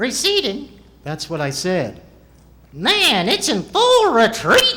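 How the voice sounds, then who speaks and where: A man uses a put-on character voice, raised and projected, at an extremely high pitch. He speaks at a very slow pace. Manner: cheeky, sassy.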